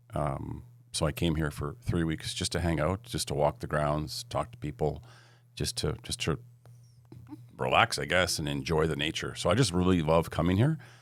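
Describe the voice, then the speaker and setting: A man's very deep, low voice with vocal fry and a Canadian accent, at a moderate pace with ordinary pitch variation, on a very clean recording with a silent background. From western Canada (Edmonton, Alberta). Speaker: entrepreneur and investor. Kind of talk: podcast interview.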